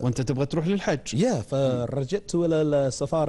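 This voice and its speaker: In a London accent, a man with a dark, mellow tone talks at a fairly slow pace with lively intonation. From England, London. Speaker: English teacher. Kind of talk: TV interview. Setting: studio. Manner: halting. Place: studio. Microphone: lapel.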